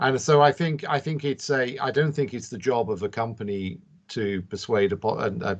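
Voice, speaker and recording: Against a quiet background, a man with a British accent talks at a fairly quick pace with ordinary pitch variation. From UK. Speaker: industry panelist. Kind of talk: panel discussion.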